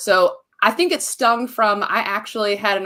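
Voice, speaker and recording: A woman with a Southern US accent speaks in a bright, sharp tone. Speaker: marketing business owner. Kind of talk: podcast interview. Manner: animated.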